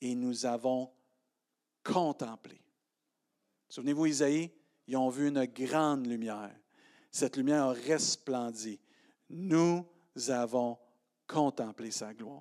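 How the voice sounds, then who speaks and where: In a Quebec accent, a man speaks at a medium pitch in a dark, mellow tone, with ordinary pitch variation. His pace is very slow with long, frequent pauses, on a very clean recording with a silent background. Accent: Québécois French. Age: 50s. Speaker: pastor. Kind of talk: sermon. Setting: church.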